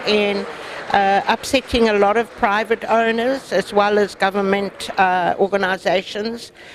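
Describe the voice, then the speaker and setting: Over noticeable background noise, a woman speaks fairly slowly at a medium pitch with monotone, flat intonation. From South Africa. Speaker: wildlife conservation activist. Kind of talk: interview.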